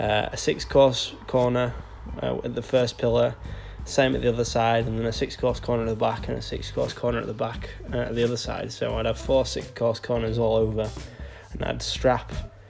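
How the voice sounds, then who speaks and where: A man speaks at a fairly quick pace. Light noise sits in the background. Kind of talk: casual vlog chat while working. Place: street. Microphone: phone near.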